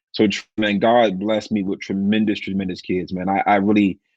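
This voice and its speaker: Dry and close with no echo, a man with an American accent speaks at a moderate pace and a fairly low pitch. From Washington DC. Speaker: pastor. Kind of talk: casual interview chat.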